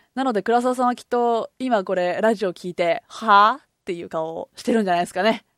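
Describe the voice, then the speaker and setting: Speaking at a fairly quick pace with hardly any pauses, a woman uses a fairly high pitch, ordinary pitch variation and big swings in loudness on a very clean recording with a silent background. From Kobe, Japan. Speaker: podcast host. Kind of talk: casual solo talk. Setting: recording alone at home.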